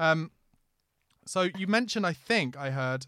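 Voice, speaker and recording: Someone with a London accent speaks on a very clean recording with a silent background. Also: man. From East London. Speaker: podcast host. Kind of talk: casual chat.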